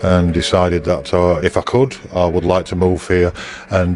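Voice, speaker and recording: A man speaks with a northern English accent and a very deep, low pitch. Noticeable background noise runs underneath. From northern England, Bradford. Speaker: museum owner. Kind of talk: interview. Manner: halting.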